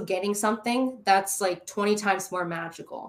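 With an animated tone, a woman speaks at a moderate pace and medium pitch, using ordinary pitch variation. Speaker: guest, star seed YouTuber. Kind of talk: casual interview chat, storytelling. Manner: animated, excitable.

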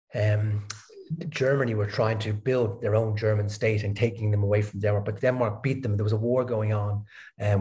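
A man with a Dublin accent speaks at a fairly quick pace in a fairly low, dark, mellow voice that is somewhat breathy. His intonation is monotone and flat. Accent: Irish (Dublin). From Ireland, Dublin. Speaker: philosophy researcher. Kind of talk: interview. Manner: halting, many fillers and repeated words.

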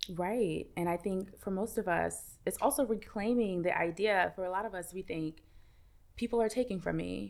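A plain, everyday voice with an American accent and ordinary pitch variation on a very clean recording with a silent background. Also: woman, medium pitch for a woman, moderate pace. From US Northeast, Brooklyn, New York. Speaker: meditation teacher and author. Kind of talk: casual chat.

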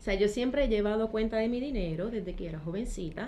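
A woman talks at a fairly quick pace with lively intonation, amid audible room echo and noticeable background noise. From Puerto Rico, Trujillo Alto. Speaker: accountant and financial educator. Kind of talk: interview.

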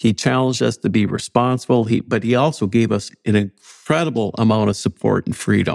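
Someone talks at a moderate pace with an Upper Midwest accent, the sound dry and close with no echo. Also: man. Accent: Upper Midwest American. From North Dakota, near Fargo. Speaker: university chancellor. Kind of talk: interview.

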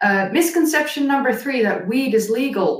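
A woman's somewhat breathy voice at a fairly slow pace, with very wide pitch swings. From Netherlands. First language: Dutch. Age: 30s. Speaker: ancient history YouTuber. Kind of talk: casual interview chat. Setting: live-streamed video call. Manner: animated, laughs often.

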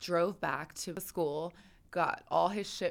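A woman speaks in an American accent in a very clean recording with a silent background. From Philadelphia, Pennsylvania. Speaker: model and professional dancer. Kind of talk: casual chat. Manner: animated.

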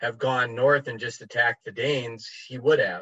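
A man speaks with a medium pitch at a moderate pace. His intonation stays fairly even. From United States. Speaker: heathen writer and musician. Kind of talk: casual interview chat.

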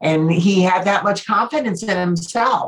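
An American accent, somewhat breathy. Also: woman. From New Jersey, then southern California from age 13. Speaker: business owner and motivational speaker. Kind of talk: interview.

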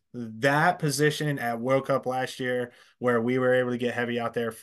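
Over a quiet background, a normal speaking voice with an American accent moves at a moderate pace with fairly even intonation. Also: man. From Pennsylvania, US. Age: 40s. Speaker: paintball company sales rep. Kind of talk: casual interview chat.

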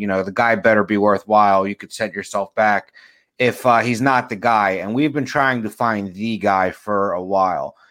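A normal speaking voice from a man, fairly low in pitch and fairly quick, with fairly even intonation and a very clean recording over a silent background. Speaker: podcast co-host. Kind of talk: casual chat. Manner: joking, casual.

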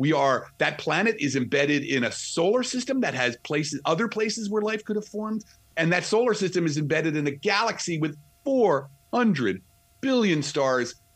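In a New Jersey accent, the voice moves at a moderate pace with very wide pitch swings. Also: man, high pitch for a man. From New Jersey, near New York City. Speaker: astrophysicist and author. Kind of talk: interview. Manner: animated.

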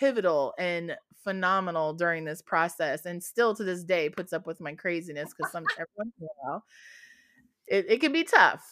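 Her tone is bright and sharp as this woman talks at a fairly quick pace, medium in pitch with ordinary variation. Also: big swings in loudness. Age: 40s. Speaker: adult content creator. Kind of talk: casual interview chat.

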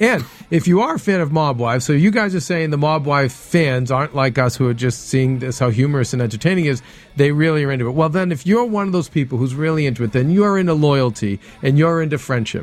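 He is a man with a fairly high pitch. His delivery runs at a very fast pace. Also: lively intonation. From Italian-American background. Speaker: after-show TV recap host. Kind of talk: casual panel chat. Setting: studio.

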